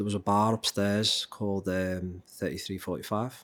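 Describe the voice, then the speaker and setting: Here a man speaks with a Liverpool accent and a monotone, flat intonation. The recording is very clean, with a silent background. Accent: Scouse (Liverpool). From Liverpool, England. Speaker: drummer and music teacher. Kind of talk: interview. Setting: studio.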